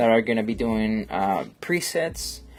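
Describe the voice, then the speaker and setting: A man at medium pitch with a strong Colombian accent, moderate pace, music in the background. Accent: thick Colombian Spanish. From Colombia, Bogotá. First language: Spanish. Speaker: photographer and live-streamer. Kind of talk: casual live-stream chat while editing. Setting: studio live stream. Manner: halting, many fillers. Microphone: new laptop.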